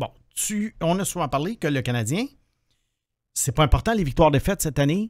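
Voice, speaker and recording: A man speaks at a moderate pace in a fairly high pitch, with very wide pitch swings. The sound is dry with no echo, and the background is quiet. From Quebec. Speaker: hockey prospects analyst, podcast co-host. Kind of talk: casual chat. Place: studio. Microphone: studio mic.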